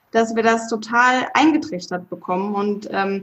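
A woman with an ordinary speaking voice talks at a fairly slow pace. Her pitch is fairly high, with ordinary pitch variation. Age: 30s. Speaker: podcast host. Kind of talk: casual chat.

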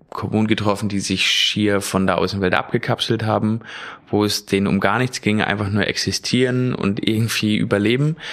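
A normal speaking voice talks at a moderate pace. Its loudness stays very even, and its intonation is fairly even. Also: man. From Mecklenburg, northeastern Germany. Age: 30s. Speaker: kindergarten teacher and dog trainer. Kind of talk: casual conversation, personal faith story.

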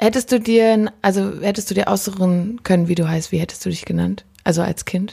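Fairly quick and somewhat breathy, a woman speaks in a dark, mellow tone with fairly even intonation. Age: 20s. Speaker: podcast host and musician. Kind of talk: casual chat. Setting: kitchen.

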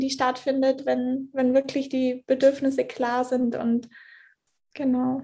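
Speaking at a very slow pace, a woman talks with a high pitch. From Germany, Allgäu (Bavarian Swabia). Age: 20s. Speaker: coaching client. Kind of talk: interview testimony.

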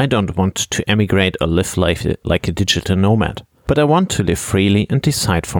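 A man's fairly low voice, lively in intonation, at a fairly quick pace. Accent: German. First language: German. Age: 30s. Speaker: podcast host and finance blogger. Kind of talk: scripted monologue.

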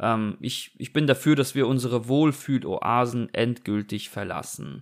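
Here a man has an ordinary speaking voice at medium pitch. His intonation is fairly even. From Germany. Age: 30s. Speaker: podcast host. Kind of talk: casual chat. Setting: remote recording.

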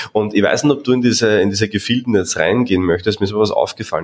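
A man speaks with an Austrian accent. His pace is very fast. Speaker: podcast host and coach. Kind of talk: interview.

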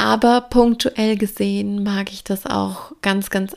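A plain, everyday voice from a woman, medium in pitch with fairly even intonation. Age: 20s. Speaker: business coach podcaster. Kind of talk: solo podcast monologue.

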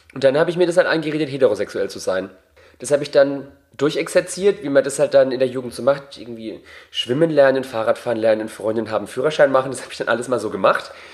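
Talking at a very fast pace, a man with a fairly high pitch shows ordinary pitch variation and big swings in loudness. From Bavaria. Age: 30s. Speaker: drag performer. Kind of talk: casual interview. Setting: home.

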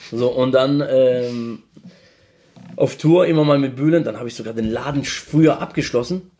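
In a Mannheim accent, a man speaks at a moderate pace and medium pitch, his dark, mellow tone carrying ordinary pitch variation. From Mannheim, Germany (Lebanese family, came 1986). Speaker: social media manager. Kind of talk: casual chat.

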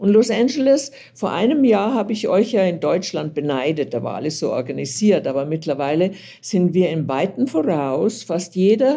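This woman's tone is dark and mellow, with vocal fry. Her pace is fairly slow. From Germany, Lower Bavaria. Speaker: journalist. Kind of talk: interview. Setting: remote call.

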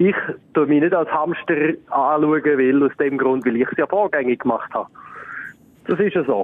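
Noticeable background noise accompanies a man with a Swiss accent who speaks at a moderate pace with a fairly high pitch, ordinary pitch variation, very even loudness, and long, frequent pauses. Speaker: recurring guest, friend of the hosts. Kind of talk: casual chat.

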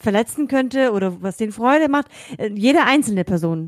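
A woman with a normal speaking voice talks at a fairly quick pace and a fairly high pitch. Her intonation is lively, and the sound is dry and close with no echo. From Germany. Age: 30s. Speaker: podcast co-host, kindergarten educator. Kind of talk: casual chat.

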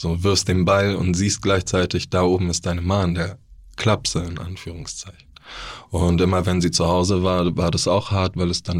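A man speaks with a very deep, low pitch. His intonation stays monotone and flat. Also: very clean recording, silent background. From Bavaria (Neu-Ulm). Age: 30s. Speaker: author and formerly homeless person. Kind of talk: interview testimony.

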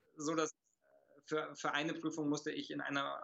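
A man talks at a moderate pace with vocal fry. His pitch sits fairly high. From Germany, childhood abroad (Italy until six). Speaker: martial arts master and speaker. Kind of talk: interview conversation.

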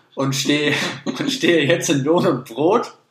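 A man talks with fairly even intonation. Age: 20s. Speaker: podcast co-host. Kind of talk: casual chat. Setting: studio.

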